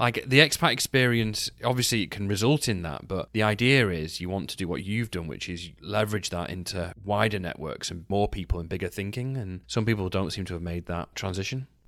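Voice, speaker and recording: On a very clean recording with a silent background, a man with an English accent talks at a fairly quick pace and fairly low pitch, with ordinary pitch variation and hardly any pauses. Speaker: podcast host. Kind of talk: interview conversation.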